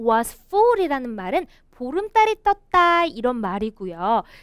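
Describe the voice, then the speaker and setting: A woman speaks at a very slow pace with very wide pitch swings. The background is quiet. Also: dry sound with no echo. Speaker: English teacher, storyteller. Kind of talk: lecture explaining a children's story. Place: studio.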